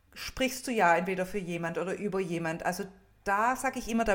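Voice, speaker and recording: A woman talks at a medium pitch and moderate pace with ordinary pitch variation. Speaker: funeral speaker and coach. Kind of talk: casual chat.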